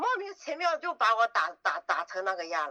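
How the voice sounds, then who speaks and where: Projecting in a raised voice, a woman speaks at a moderate pace with a bright, sharp tone and very wide pitch swings, in a dry, close sound with no echo. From Yunnan, Dali. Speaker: trafficking survivor. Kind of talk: interview testimony.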